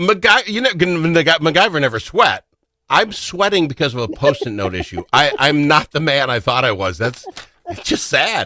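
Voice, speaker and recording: An animated man at a moderate pace, his fairly high voice making very wide pitch swings. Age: 60s. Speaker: radio talk show host. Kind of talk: casual chat. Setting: radio studio with camera.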